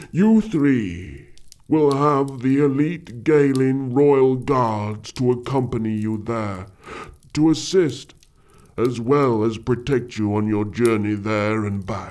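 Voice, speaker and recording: A put-on character voice from a man, pitched in the medium range and delivered at a fairly slow pace. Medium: audio drama. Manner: formal, commanding.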